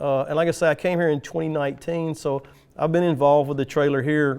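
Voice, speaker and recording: With a Tennessee accent, a man speaks in a fairly high, monotone, flat voice over a quiet background. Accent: US Southern (Tennessee). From West Tennessee, Jackson. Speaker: utility lineman. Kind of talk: podcast interview.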